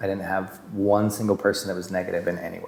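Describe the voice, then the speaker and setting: Very fast speech with a western US accent amid noticeable background noise. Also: man. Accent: western American. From Utah. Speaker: actor. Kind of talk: interview testimony. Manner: hesitant with fillers and repetitions.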